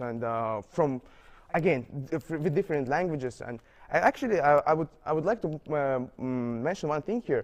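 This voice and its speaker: Here a man speaks with a non-native accent. His pitch is fairly high. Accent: non-native, foreign. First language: not English. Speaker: international university student. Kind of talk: interview. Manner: halting, many fillers and repetitions.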